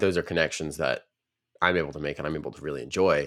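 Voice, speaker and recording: A man's very deep, low voice with an American accent, fairly even intonation and a fairly quick pace, on a very clean recording with a silent background. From US South, Nashville region. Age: young. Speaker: podcast co-host and coder. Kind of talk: casual chat.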